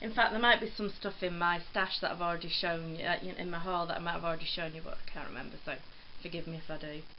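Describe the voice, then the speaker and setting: Amid audible room echo, a woman with an English accent speaks very fast at a fairly low pitch with ordinary pitch variation. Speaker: cross stitch vlogger. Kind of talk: casual chat. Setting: filmed at home on phone. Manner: rambling, hesitant with ums.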